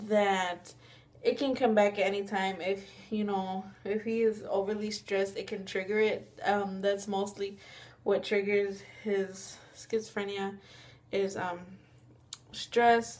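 A woman talks at a fairly slow pace with long, frequent pauses. Her intonation is monotone and flat. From Mexican-American. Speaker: vlogger. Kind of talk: casual talk to camera. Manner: hesitant, frequent fillers. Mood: serious, reflective. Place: home room. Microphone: webcam.

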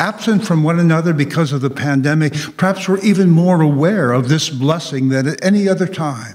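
Intonation is lively as this man speaks. His voice is somewhat breathy. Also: quiet background. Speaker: pastor. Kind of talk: sermon. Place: church. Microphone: podium.

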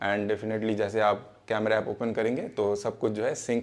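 Fairly low in pitch, a man's slightly mellow voice shows little pitch movement.

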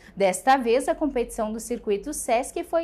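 A high-pitched woman speaks at a moderate pace with lively intonation. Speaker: news anchor. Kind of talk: newsreading. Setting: studio. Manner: formal, steady, even delivery. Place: studio. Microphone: lapel.

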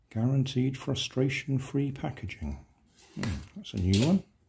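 Vocal fry runs through a man's slightly mellow tone as his pitch swings widely. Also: medium pitch for a man, fairly slow pace.

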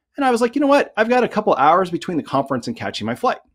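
A man's voice with very wide pitch swings over a quiet background. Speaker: sales consultant, conference speaker. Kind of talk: conference talk.

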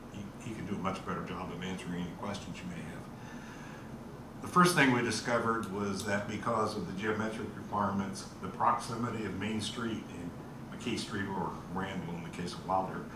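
The speaker has fairly even intonation, with audible room echo and noticeable background noise. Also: man, fairly low pitch for a man, fairly quick pace. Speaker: presenter. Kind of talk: meeting presentation. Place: meeting room.

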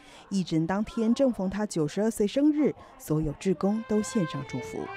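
Very wide pitch swings at a moderate pace, with music playing behind. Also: woman, medium pitch for a woman. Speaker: news narrator. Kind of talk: TV news narration.

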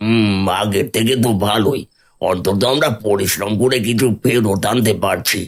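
A man uses a cartoonish character voice at medium pitch, with fairly even intonation. He speaks at a fairly slow pace, with very even loudness. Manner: worried, cautious.

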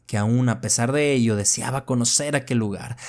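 A man is speaking. His tone is dramatic. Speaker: horror story narrator. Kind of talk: horror narration, first-person story read aloud. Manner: tense, hushed, slow-building suspense; measured, dramatic pacing.

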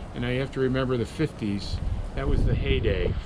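Through noticeable background noise, a man's speech proceeds at a moderate pace. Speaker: boat captain guide. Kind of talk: interview answer. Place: boat. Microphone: phone near.

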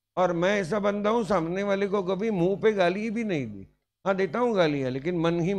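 A man's voice, high in pitch. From Maharashtra, India. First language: Marathi (speaking Hindi). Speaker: teacher. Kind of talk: lecture. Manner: animated. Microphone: handheld.

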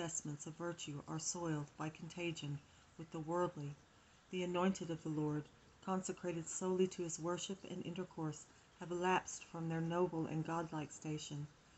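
At a moderate pace, the voice stays monotone and flat over light background noise. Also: woman. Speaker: home reader of devotional text. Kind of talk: reading aloud. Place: home room. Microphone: phone near.

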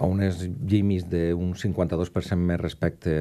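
In a dark, mellow tone, a man speaks with fairly even intonation. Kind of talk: interview answer. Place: studio. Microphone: studio mic.

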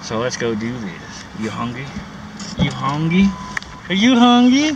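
A man's high voice with very wide pitch swings, dry with no echo, over noticeable background noise. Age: 30s. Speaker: vlogger. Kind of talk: casual vlog. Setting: in a car. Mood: grumbling about costs. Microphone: phone near.

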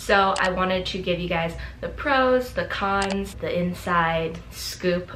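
A woman speaks at a fairly slow pace. There is light background noise. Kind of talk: casual vlog chat. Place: home room.

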